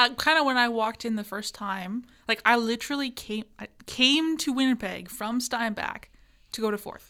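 In a Canadian accent, a woman with a fairly high pitch and a bright, sharp tone speaks at a moderate pace, with ordinary pitch variation and big swings in loudness. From rural Manitoba, Canada. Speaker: student podcast co-host. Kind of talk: casual chat. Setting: studio.

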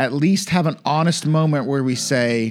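A man with a Southern US accent speaks in a playful tone at a moderate pace, with ordinary pitch variation, on a very clean recording with a silent background. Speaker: podcast co-host. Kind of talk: casual banter with Bible study. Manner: joking, playful.

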